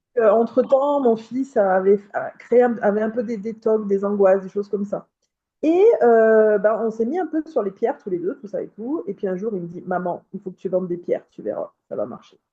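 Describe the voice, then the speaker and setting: Fairly high female voice, dark and mellow in tone, with lively intonation, big swings in loudness and a moderate pace. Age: 30s. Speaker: lithotherapy practitioner. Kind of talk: interview. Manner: hesitant, many fillers. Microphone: too quiet, far from mic, cutting out.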